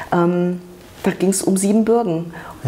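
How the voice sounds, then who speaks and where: A woman with a fairly low pitch speaks with fairly even intonation over noticeable background noise. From Munich, Germany (born in Romania). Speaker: journalist and women's rights activist. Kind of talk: interview. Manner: halting.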